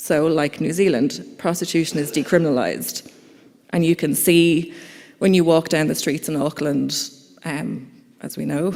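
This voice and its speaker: Moderate pace, in an Irish accent. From Ireland. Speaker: conference speaker, campaigner. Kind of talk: conference talk. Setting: conference hall with audience.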